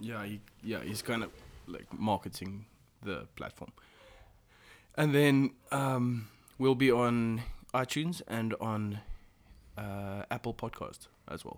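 A man with a South African accent talks at a very slow pace, with long, frequent pauses. His voice sits at a medium pitch with ordinary pitch variation and big swings in loudness. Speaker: podcast host. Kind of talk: casual chat.

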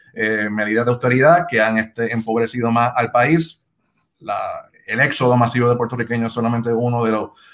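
A man speaks at a moderate pace. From Puerto Rico (Bayamón). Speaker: campaign strategist, organization co-founder. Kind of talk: interview on live video show. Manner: halting, many repetitions.

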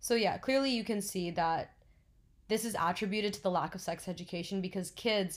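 Using an ordinary speaking voice, a woman talks at a moderate pace with a medium pitch and ordinary pitch variation. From New Jersey. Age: 20s. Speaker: podcast co-host, pre-med student. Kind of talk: informational talk; casual chat.

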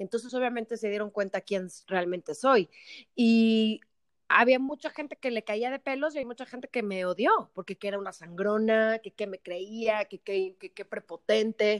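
A woman speaks at a moderate pace with a fairly high pitch and ordinary pitch variation. Her loudness swings widely, in a dry, close sound with no echo. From Mexico. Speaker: actress and TV presenter. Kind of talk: casual chat. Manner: energetic.

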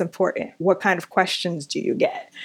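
An unremarkable speaking voice from a woman, medium in pitch, with an American accent, at a moderate pace, on a very clean recording with a silent background. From New York City (Long Island, Queens). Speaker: book editor and podcast host. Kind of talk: interview conversation.

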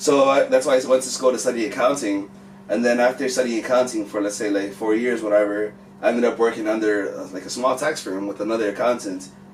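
Over noticeable background noise, a man with an American accent talks at a very fast pace, his pitch medium with ordinary variation. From Mexican American household, US. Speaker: music manager and finance educator. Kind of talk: casual chat.

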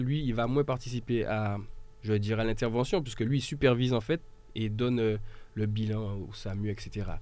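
This man speaks at a moderate pace and a medium pitch. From mainland France, after early childhood in Martinique. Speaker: volunteer firefighter and local political activist. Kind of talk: radio panel discussion.

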